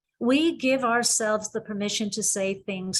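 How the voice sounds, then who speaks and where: Speaking in an Irish accent, a woman talks at a moderate pace with a fairly high pitch. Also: quiet background. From Ireland. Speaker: psychologist and university president. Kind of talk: webinar presentation. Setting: video call.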